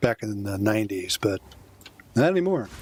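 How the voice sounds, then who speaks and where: At a moderate pace, a man talks at a medium pitch with noticeable background noise. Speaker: video game streamer. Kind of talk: gameplay commentary. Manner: casual, with fillers.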